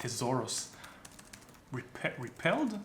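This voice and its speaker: A man's pitch swings very widely while noticeable noise fills the background. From Israel. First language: Hebrew. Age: 30s. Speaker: YouTuber. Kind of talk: casual chat.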